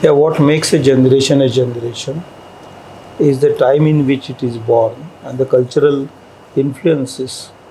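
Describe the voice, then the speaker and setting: At a moderate pace broken by long, frequent pauses, a man talks at a fairly high pitch with fairly even intonation. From India, Maharashtra. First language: Marathi. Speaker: scholar and linguist. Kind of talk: interview.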